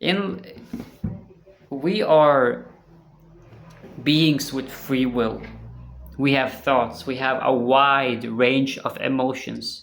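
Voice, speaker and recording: The speech comes very slowly, broken by long, frequent pauses. Noticeable background noise runs underneath. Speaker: YouTuber talking about religion. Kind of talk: casual monologue to camera. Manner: halting, repeats words.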